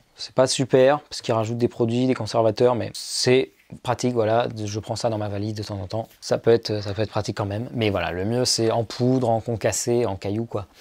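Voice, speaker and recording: A man's medium-pitched voice, fairly quick and monotone, with flat intonation. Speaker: YouTuber. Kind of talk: casual tutorial vlog. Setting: his bedroom. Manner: fast; casual, filler-heavy.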